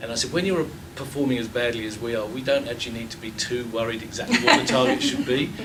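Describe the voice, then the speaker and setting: Very fast speech from a man, noticeable background noise and audible room echo around it. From England. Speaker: water utility CEO. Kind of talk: panel discussion. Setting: lecture theatre with audience. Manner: halting.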